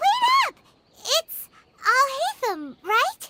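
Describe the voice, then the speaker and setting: A squeaky, put-on character voice at an extremely high pitch. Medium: video game. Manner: energetic, loud.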